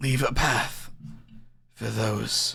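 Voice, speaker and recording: A man whispering in a put-on character voice. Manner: weak, whispering, muttering.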